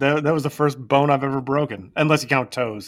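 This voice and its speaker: At a fairly quick pace, a man with a fairly high pitch and an ordinary speaking voice talks in a very clean recording with a silent background. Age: 40s. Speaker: podcast co-host. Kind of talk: casual chat.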